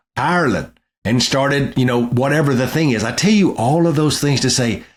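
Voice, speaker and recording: Speaking with an American accent, a man talks at a fairly quick pace. His pitch is fairly high and his intonation lively. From East Texas. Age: 50s. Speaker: political strategist. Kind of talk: interview. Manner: casual.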